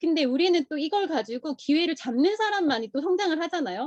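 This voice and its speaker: A woman speaks at a fairly quick pace in a dark, mellow tone. The sound is dry and close, with no echo. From South Korea, Busan. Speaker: direct sales distributor. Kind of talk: motivational talk.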